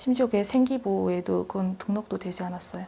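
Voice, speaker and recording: A woman's medium-pitched, somewhat breathy voice, dark and mellow in tone, at a fairly quick pace. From North Korea, North Hamgyong. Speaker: North Korean defector, student. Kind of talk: interview.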